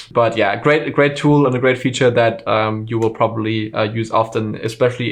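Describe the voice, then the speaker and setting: In a German accent, a man speaks at a medium pitch. His pace is fairly quick and his pitch varies in an ordinary way. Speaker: online course instructor. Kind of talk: tutorial. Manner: casual with frequent fillers.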